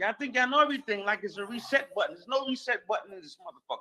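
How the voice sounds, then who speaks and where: A man talks at a very fast pace in a raised, projected voice with an animated tone. His pitch is extremely high and his intonation is lively. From New York City. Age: 50s. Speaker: podcast host. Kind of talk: heated debate.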